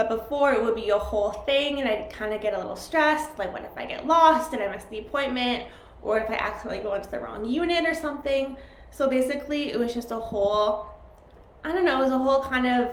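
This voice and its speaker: A woman speaks at a very fast pace and high pitch with ordinary pitch variation, with audible room echo and noticeable background noise. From Canada. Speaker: live chat host. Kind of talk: casual live-stream chat. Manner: chatty, filler-heavy.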